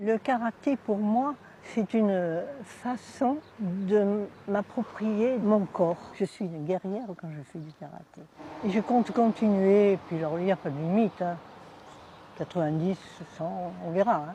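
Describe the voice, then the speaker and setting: The voice moves at a very slow pace with long, frequent pauses. Its pitch varies in an ordinary way, with big swings in loudness. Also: woman, medium pitch for a woman. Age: 80s+. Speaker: karate practitioner. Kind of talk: interview testimony. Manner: animated.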